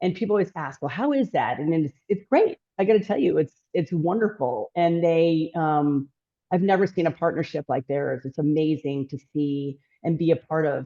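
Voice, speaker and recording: Speaking at a moderate pace, a woman with a fairly low voice sounds animated, her pitch varying in an ordinary way. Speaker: home building company executive. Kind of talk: interview conversation. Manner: loud.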